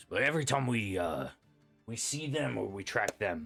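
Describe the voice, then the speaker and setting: A raspy man's put-on character voice at a medium pitch, with faint music in the background. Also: moderate pace. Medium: actual play.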